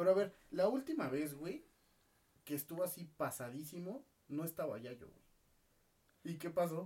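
In a Mexican accent, a man with a high, dark, mellow voice speaks at a moderate pace with lively intonation, big swings in loudness, and long, frequent pauses. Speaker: podcast co-host. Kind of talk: casual chat.

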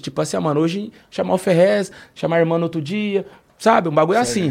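This is a man speaking. His intonation is lively. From interior of São Paulo state (Taubaté). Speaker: rapper. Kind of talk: casual interview.

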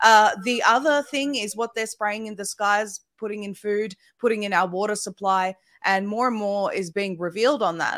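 In a very clean recording with a silent background, a woman speaks with an Australian accent in a dry, close sound with no echo. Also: medium pitch for a woman, ordinary pitch variation, moderate pace. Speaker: independent media founder. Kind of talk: panel discussion.

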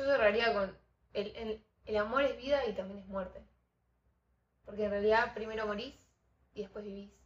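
A woman speaks at a fairly high pitch and a moderate pace, her intonation fairly even. Her voice is somewhat breathy, with long, frequent pauses. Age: 20s. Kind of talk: casual faith conversation.

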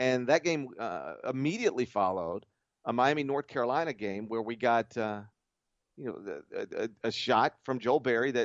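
A man with an American accent, medium pitch, ordinary pitch variation, a moderate pace and an ordinary speaking voice. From US South. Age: 40s. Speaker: college basketball writer and podcast host. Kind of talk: casual chat.

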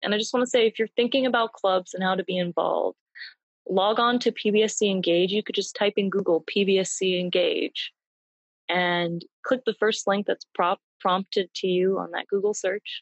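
Dry, close sound with no echo, a woman with an ordinary speaking voice at a moderate pace. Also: medium pitch for a woman, fairly even intonation. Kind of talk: interview conversation. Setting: video call.

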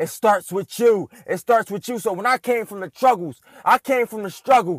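A man's high, energetic voice at a moderate pace, with ordinary pitch variation, dry and close with no echo, on a very clean recording with a silent background. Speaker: motivational podcast host. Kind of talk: motivational pep talk urging listeners to close their eyes and dream big. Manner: fervent, repetitive, building cadence of short punchy lines; energetic and hyped.

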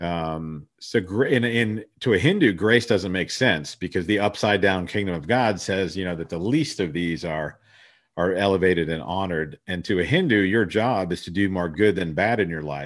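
Against a quiet background, a man with a US Midwestern accent speaks in a very deep, low voice with ordinary pitch variation. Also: moderate pace. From Columbus, Ohio. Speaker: singer-songwriter and finance podcaster. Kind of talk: casual interview chat.

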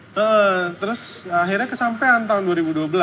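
A man talks at a fairly quick pace with lively intonation. Noticeable background noise runs underneath. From Indonesia. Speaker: comic book artist. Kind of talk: casual interview. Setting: cafe.

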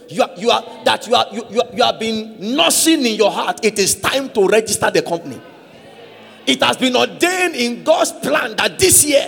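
A man speaks at a moderate pace with extremely high pitch and an animated tone. His intonation is lively, and there is noticeable background noise. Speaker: preacher. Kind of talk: sermon. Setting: church with congregation. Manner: call-and-response.

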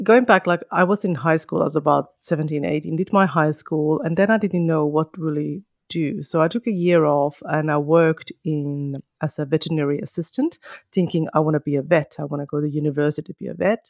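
A woman with a Finnish accent, very deep, low pitch and ordinary pitch variation, at a fairly quick pace in a dry, close sound with no echo. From northern Finland, Kajaani. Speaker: podcaster and mother. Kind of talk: interview conversation.

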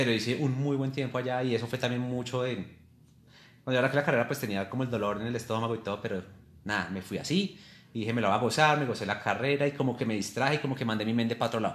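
A man is speaking. He goes at a very fast pace in a medium pitch. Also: ordinary pitch variation. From Colombia, Boyacá (Tunja). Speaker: amateur marathon runner. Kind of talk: casual interview.

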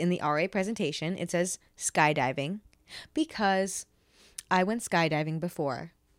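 A woman at a medium pitch, animated in tone and lively in intonation, on a very clean recording with a silent background. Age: 20s. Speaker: podcast host. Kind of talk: casual explanatory monologue.

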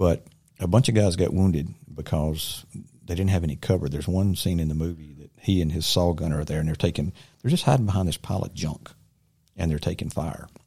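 In a Southern US accent, a man with a very deep, low pitch and a dark, mellow tone talks at a fairly quick pace with ordinary pitch variation on a very clean recording with a silent background. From Silver Creek, US South. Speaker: inventor and army veteran. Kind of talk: casual interview. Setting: studio.

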